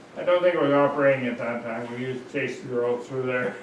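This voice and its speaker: Heard with audible room echo and noticeable background noise, a man with an American accent speaks at a medium pitch. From Washington State, Seattle area. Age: 90s. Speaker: oral history interviewee. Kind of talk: oral history interview. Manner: halting.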